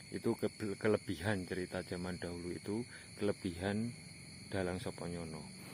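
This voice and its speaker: A man with a very deep, low pitch speaks at a moderate pace in a fairly even intonation. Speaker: paranormal explorer vlogger. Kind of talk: vlog narration. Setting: outdoors at night near houses. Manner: quiet, lowered voice.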